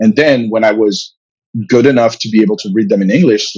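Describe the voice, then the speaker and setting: The man talks at a very fast pace. His pitch shows ordinary variation. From France. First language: French. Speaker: comic book writer and publisher. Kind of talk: interview. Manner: halting, many fillers and repetitions.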